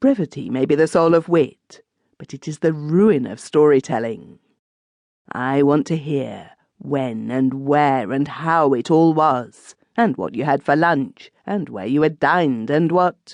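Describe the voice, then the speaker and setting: Putting on a character voice, a woman speaks at a fairly slow pace with a very deep, low pitch and lively intonation, recorded dry and close with no echo over a quiet background. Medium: read story.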